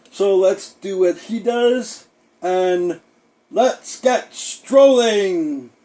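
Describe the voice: This is a put-on character voice, pitched in the middle range. It moves at a very slow pace.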